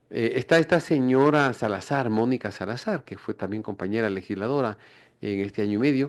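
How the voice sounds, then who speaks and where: Over a quiet background, a man speaks at a fairly quick pace at a medium pitch in an unremarkable speaking voice. His pitch varies in an ordinary way. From Ecuador, Quito. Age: 60s. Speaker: politician. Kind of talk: radio interview.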